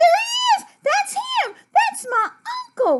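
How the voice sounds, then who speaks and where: Pitched extremely high, a put-on character voice moves at a fairly slow pace. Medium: read story. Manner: boastful.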